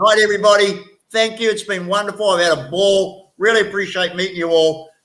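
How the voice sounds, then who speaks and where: A man's raised, projected voice, high-pitched and fairly quick, with fairly even intonation. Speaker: livestream guest. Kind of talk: casual chat.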